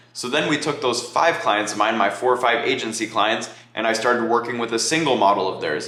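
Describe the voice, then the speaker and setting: Amid noticeable background noise and audible room echo, a man talks fairly quickly with hardly any pauses, at a medium pitch with ordinary pitch variation. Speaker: content agency owner. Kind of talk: talking-head business advice video. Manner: fast.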